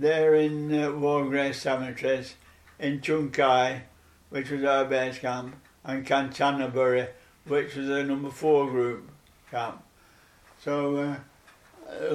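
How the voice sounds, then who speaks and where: Very slowly and in a monotone, flat voice, a man speaks at a fairly high pitch. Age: 90s. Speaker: war veteran. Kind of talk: oral history interview. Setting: at home. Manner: halting.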